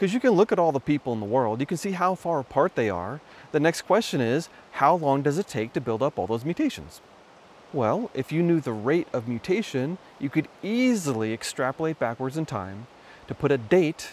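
The pitch swings very widely. The sound is dry with no echo, over light background noise. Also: man. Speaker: presenter. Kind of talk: explanatory vlog talk. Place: waterside. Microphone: phone near.

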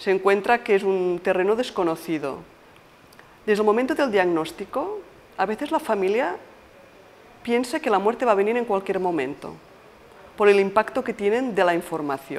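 A moderate pace broken by long, frequent pauses. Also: woman. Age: 50s. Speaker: palliative care nurse. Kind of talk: interview monologue; interview answer. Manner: halting. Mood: calm, explanatory. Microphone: lapel.

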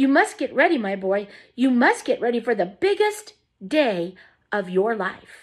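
A natural voice reading aloud, the background quiet

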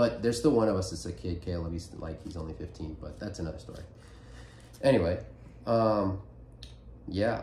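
A man speaks with a very deep, low pitch, a dark, mellow tone and vocal fry. Light background noise and audible room echo are present. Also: moderate pace. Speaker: podcast host. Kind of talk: casual chat. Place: home room. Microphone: phone near.

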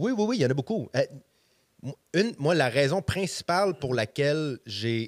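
Against a quiet background, a man talks at a fairly slow pace with very wide pitch swings. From Quebec, Montreal. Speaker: stand-up comedian. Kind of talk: casual chat. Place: studio. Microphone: studio mic.

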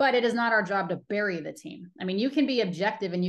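This voice has an American accent and ordinary pitch variation. It moves very fast over a quiet background. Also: woman. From Colorado. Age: 40s. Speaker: baseball TV host and reporter; baseball TV host, reporter. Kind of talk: casual interview. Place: home room. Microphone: video call.

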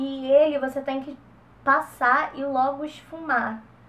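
This is a woman speaking with a high pitch. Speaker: beauty vlogger. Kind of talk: tutorial. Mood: relaxed, chatty. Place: home room. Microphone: camera far.

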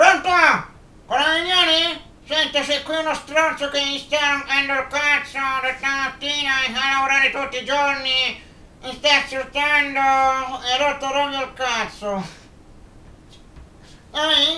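A cartoonish character voice at a high pitch moves at a fairly slow pace with long, frequent pauses. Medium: puppet. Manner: rude, complaining.

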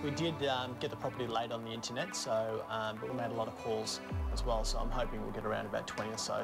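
A man talks at a very fast pace with hardly any pauses, while clear music plays in the background. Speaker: real estate agent and auctioneer. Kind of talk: casual talk to camera, documentary interview. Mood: upbeat, confident. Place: home room.

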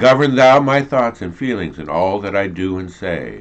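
A man is speaking. His pitch is very deep and low. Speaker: church prayer leader. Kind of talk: live-streamed prayer service. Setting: online video stream. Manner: informal, somewhat flustered. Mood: calm, devotional. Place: home room. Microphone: video call.

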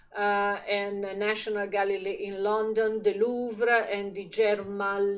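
A woman in an Italian accent, with monotone, flat intonation. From Italy. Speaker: magazine editor and video presenter. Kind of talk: art exhibition review to camera. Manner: halting, many fillers.

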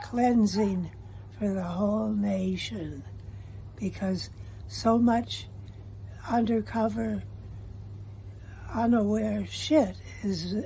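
With long, frequent pauses, a woman speaks at a very slow pace over light background noise. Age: 80s+. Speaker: voter giving testimonial. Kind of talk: interview answer. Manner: hesitant. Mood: worried, upset. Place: home room. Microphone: phone near.

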